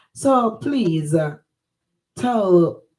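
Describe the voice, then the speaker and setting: Woman with a Jamaican accent, speaking at a very slow pace with very wide pitch swings. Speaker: online talk show host. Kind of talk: casual interview.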